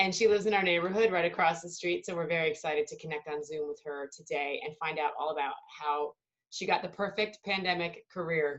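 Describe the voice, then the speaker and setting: With an ordinary speaking voice, a woman of fairly low pitch talks at a fairly quick pace with hardly any pauses, fairly even intonation and big swings in loudness. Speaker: interview host. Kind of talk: casual interview questions.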